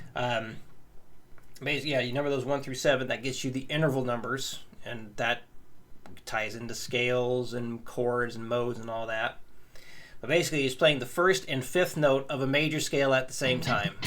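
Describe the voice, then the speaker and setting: A man with an unremarkable speaking voice, fairly even intonation and a moderate pace. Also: medium pitch for a man. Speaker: guitar teacher. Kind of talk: tutorial.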